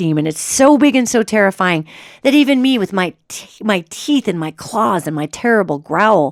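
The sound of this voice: In an unforced reading voice, the speaker uses lively intonation.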